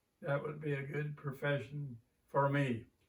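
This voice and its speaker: Somewhat breathy and fairly high in pitch, a man talks with an American accent. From southern Indiana (Borden). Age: 90s. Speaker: retired teacher. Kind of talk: oral history interview.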